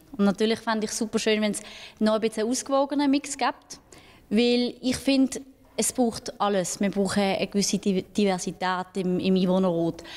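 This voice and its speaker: A woman at a fairly high pitch, with ordinary pitch variation and a moderate pace. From Switzerland, Basel region. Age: 20s. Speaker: local councillor. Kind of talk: interview. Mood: calm, earnest. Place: hall. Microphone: handheld.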